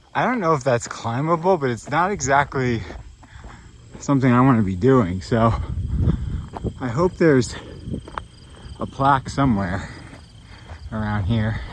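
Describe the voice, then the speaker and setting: A man with lively intonation and long, frequent pauses, over noticeable background noise. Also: medium pitch for a man, moderate pace. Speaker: travel vlogger, hiker. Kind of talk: vlog narration while hiking. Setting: outdoors on a mountain trail.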